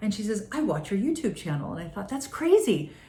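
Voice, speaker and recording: The speaker's pitch swings very widely at a fairly quick pace, with noticeable background noise. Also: woman. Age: 60s. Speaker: wellness business owner. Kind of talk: casual talk to camera.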